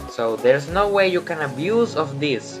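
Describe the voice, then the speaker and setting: A man with a Spanish accent at a fairly slow pace, pitch swinging very widely, music in the background. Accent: non-native English speaker, Spanish-speaking. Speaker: gaming YouTuber. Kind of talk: video game commentary.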